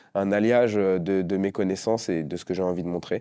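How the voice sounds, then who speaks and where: A dark, mellow tone at a moderate pace with ordinary pitch variation, on a very clean recording with a silent background. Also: man. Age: 20s. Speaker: professional dancer. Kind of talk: documentary interview. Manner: hesitant, many fillers.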